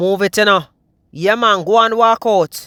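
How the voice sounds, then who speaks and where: Dry and close with no echo, this very clean recording with a silent background captures a man with a Jamaican accent speaking at a moderate pace in a raised, projected voice, his tone animated, excited, bright and sharp. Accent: Jamaican Patois. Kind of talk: comedic nature-video commentary.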